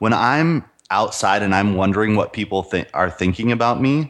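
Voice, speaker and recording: This man has an American accent and a fairly low pitch. He speaks at a moderate pace with ordinary pitch variation. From US, Idaho. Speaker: entrepreneur and men's coach. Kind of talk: interview.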